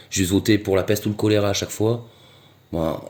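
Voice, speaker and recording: A man's fairly low voice with a dark, mellow tone, on a very clean recording with a silent background. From southwest France (Gers). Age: 40s. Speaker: street interviewee. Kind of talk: street interview. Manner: halting, many hesitations and repetitions.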